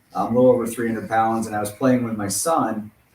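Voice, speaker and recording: Amid noticeable background noise, a man with an American accent talks at a fairly quick pace in a medium pitch. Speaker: web comic artist. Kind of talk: podcast interview.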